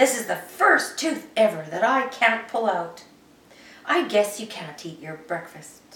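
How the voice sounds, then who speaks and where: A woman puts on a character voice, fairly high in pitch and fairly slow, with a slight echo. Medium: read story.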